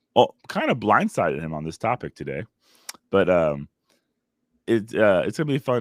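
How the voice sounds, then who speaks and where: A man speaks at a fairly quick pace with vocal fry and very wide pitch swings. The sound is dry and close, with no echo. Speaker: podcast host, father. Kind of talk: casual chat.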